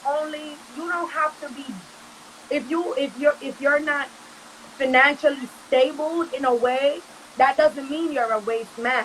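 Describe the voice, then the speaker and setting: Noticeable background noise sits behind a woman with a high pitch, fairly even intonation and big swings in loudness. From Jamaican American, raised in Brooklyn. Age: 20s. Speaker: reggae and dancehall artist. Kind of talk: interview answer. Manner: casual.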